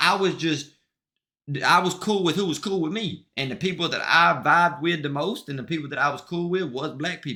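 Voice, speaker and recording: A man's high-pitched, animated voice with an American accent, bright and sharp in tone, at a fairly quick pace. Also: ordinary pitch variation. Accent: country but street, Southern. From US South, Mississippi. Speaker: streamer and musician. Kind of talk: casual livestream chat. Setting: livestream. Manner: animated, repetitive.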